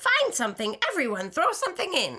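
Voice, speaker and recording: The put-on character voice moves at a fairly quick pace. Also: woman. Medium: read story.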